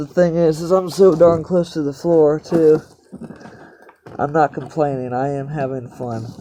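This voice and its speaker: Against noticeable background noise, the words come out at a fairly slow speed. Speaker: YouTuber doing a DIY project. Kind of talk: casual DIY vlog. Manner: halting, repeats words.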